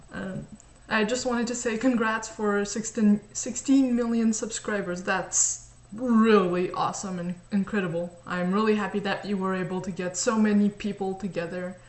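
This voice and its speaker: Over noticeable background noise, a woman with a French Canadian accent speaks with fairly even intonation. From French Canada. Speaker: fan. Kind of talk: video message.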